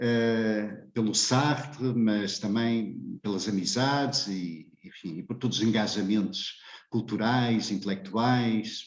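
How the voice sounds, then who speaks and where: A man speaks at a medium pitch with ordinary pitch variation, and the room echo is audible. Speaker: philosophy professor. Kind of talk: lecture. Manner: hesitant, many filler sounds.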